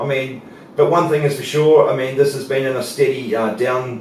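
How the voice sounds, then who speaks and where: A man with a New Zealand accent speaks at a medium pitch, with noticeable background noise and audible room echo. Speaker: market analyst. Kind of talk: market analysis presentation. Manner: hesitant, many fillers.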